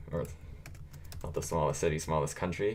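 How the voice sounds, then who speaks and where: The voice belongs to a man. Audible room echo trails his words. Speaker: gaming streamer. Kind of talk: live stream commentary. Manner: casual, filler-heavy.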